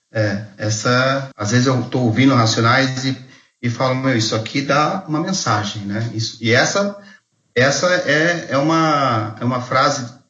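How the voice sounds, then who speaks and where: There is audible room echo as a man speaks at a fairly slow pace with ordinary pitch variation. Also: medium pitch for a man. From Brazil, Mogi das Cruzes (São Paulo). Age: 40s. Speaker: theology graduate, podcast co-host. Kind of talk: casual chat.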